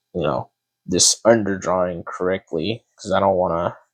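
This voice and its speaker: A man speaks quietly and fairly slowly, with a dry, close sound and no echo. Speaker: artist drawing while talking. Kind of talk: casual talk while drawing. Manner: halting.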